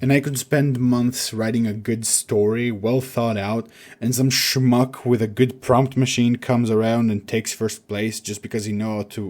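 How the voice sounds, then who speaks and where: On a very clean recording with a silent background, a man with a non-native accent speaks at a medium pitch in a dark, mellow tone with fairly even intonation. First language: not English. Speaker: writer and video essayist. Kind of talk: video essay.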